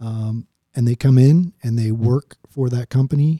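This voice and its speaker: Speaking with an American accent, a man has a medium pitch and a dark, mellow tone that is somewhat breathy. His intonation is fairly even. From Oklahoma, Tulsa. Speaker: retired Marine pilot. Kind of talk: interview conversation.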